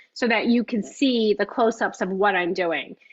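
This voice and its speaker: A woman speaks with a New York accent. Her voice sits at a fairly high pitch. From US Northeast, Long Island, New York. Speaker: cookbook author and baking instructor. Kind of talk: live cooking class. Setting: video call. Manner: fast.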